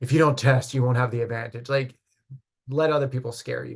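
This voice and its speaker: A somewhat breathy male voice with fairly even intonation. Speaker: college admissions counselor. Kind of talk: online info session. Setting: video call. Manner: fast.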